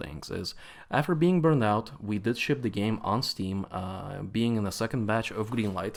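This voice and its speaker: With a Latvian accent, a man speaks at a moderate pace and medium pitch with lively intonation on a very clean recording with a silent background. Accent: Eastern European (Latvian). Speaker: games company CEO. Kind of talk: conference talk. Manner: halting, many fillers.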